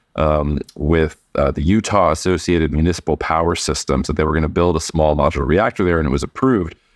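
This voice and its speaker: At a fairly quick pace, a man talks with a very deep, low pitch. The recording has a dry, close sound with no echo. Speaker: podcast host and geopolitical analyst. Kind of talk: casual podcast chat. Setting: remote recording while traveling.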